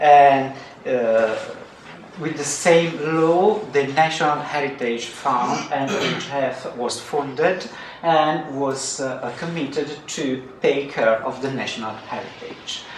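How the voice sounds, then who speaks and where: Over noticeable background noise and audible room echo, a man with a non-native accent speaks very slowly in a fairly high voice with ordinary pitch variation. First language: Italian. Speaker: archaeologist. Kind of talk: conference talk. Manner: halting, many fillers.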